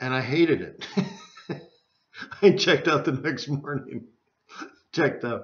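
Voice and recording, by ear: A man at a medium pitch, very slow pace, ordinary pitch variation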